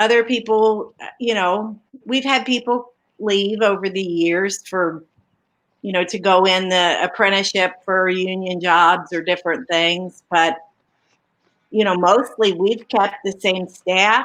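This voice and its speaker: A woman's normal speaking voice, a normal speaking voice at medium pitch, fairly even in intonation and fairly slow in pace. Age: 60s. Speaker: small business owner. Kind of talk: interview.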